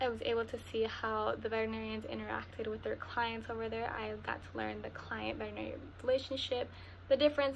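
The speech comes at a fairly quick pace. Light background noise runs underneath. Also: woman. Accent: Spanish. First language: Spanish. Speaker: university student. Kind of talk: testimonial. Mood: warm, calm. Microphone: webcam.

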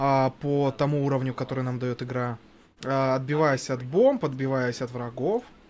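Over light background noise, a man talks with a fairly high pitch. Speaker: gaming commentator. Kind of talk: live commentary. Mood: relaxed, joking. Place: studio. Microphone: headset.

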